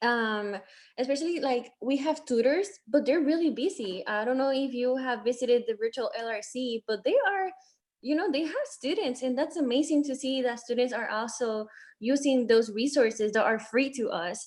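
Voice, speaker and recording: This woman's pitch is high. She keeps a moderate pace. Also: ordinary pitch variation. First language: not English. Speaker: student legislator. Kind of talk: casual chat.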